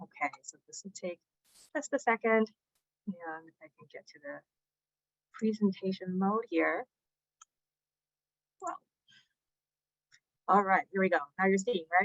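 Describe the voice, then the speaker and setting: A woman speaks at a fairly slow pace in a medium pitch, with ordinary pitch variation and big swings in loudness. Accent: Chinese. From China, Shanghai; moved to US at nine. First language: Chinese. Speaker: climate advocate and researcher. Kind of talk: conference presentation. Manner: hesitant with many fillers.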